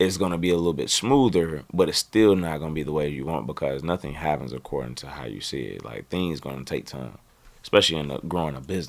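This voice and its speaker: A man with an American accent, very deep and low in pitch, with vocal fry, an animated tone, a very fast pace, and big swings in loudness. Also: ordinary pitch variation. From US South, North Carolina near Charlotte. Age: 30s. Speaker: fitness entrepreneur. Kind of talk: casual interview chat.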